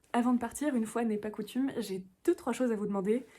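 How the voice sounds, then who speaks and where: A woman talks at a very fast pace in a somewhat breathy, fairly high voice. Her tone is dark and mellow, with ordinary pitch variation. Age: 20s. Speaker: book vlogger. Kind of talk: casual vlog talk to camera. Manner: halting, many fillers and repetitions.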